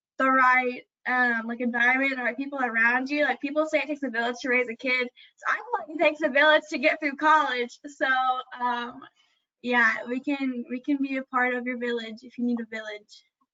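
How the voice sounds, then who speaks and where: A woman's high voice at a fairly quick pace, fairly even in intonation but with big swings in loudness. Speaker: student ambassador. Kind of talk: casual chat.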